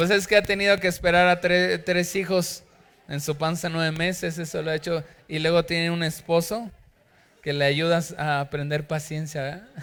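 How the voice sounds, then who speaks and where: Loud and animated, a man speaks at a fairly slow pace with a high pitch and ordinary pitch variation, captured on a very clean recording with a silent background. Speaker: pastor. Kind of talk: sermon.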